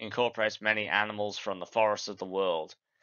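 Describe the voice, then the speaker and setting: This man speaks very fast with an Australian accent. His fairly low voice keeps a fairly even intonation. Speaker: gaming YouTuber. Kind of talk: scripted narration.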